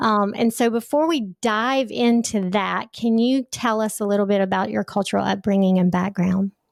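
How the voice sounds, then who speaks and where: In a very clean recording with a silent background and a dry, close sound with no echo, a woman speaks at a moderate pace in a medium pitch, with ordinary pitch variation, very even loudness and hardly any pauses. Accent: Southern US. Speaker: podcast host. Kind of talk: interview.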